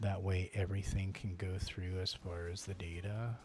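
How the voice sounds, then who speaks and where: At a moderate pace, a man speaks with a very deep, low pitch, a somewhat breathy voice and fairly even intonation. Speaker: gaming streamer and video editor. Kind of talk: casual live stream chat. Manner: low volume.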